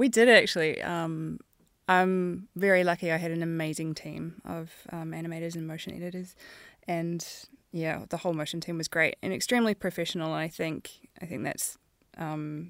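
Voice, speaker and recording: A woman speaks with a New Zealand accent and a fairly low pitch. Her intonation is fairly even, and the recording is very clean with a silent background. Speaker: animation supervisor. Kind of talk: casual chat.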